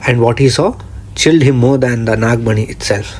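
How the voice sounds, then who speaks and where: A man's medium-pitched voice with fairly even intonation and noticeable background noise. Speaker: horror and folklore narrator. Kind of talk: horror story narration, spooky storytelling.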